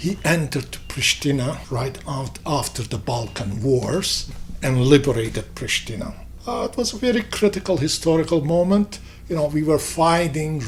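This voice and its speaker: A man with an Albanian accent speaks at a fairly slow pace over music in the background. His pitch is fairly high and his intonation is lively. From Kosovo. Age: 60s. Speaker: businessman and community figure. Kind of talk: interview. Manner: halting.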